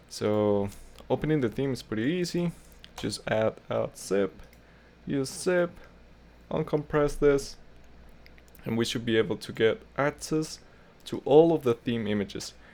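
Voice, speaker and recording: A man speaks slowly-ish with lively intonation and long, frequent pauses. His pitch sits at a medium level. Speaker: tutorial creator. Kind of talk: tutorial. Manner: casual, with fillers.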